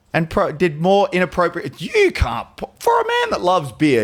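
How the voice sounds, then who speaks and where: An animated tone comes from a man heard over noticeable background noise. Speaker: podcast guest. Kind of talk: casual chat.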